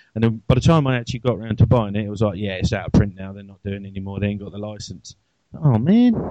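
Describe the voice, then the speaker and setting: A man with an English accent talks at a very fast pace, his voice dark and mellow at a fairly low pitch. Pitch varies in an ordinary way while loudness swings a lot. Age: 30s. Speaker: podcast host. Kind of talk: casual chat.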